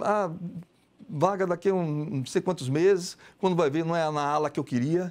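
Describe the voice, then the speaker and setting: Talking at a very fast pace, a man speaks in a high pitch. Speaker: visual artist; guest. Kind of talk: TV interview. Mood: frank, somewhat aggrieved.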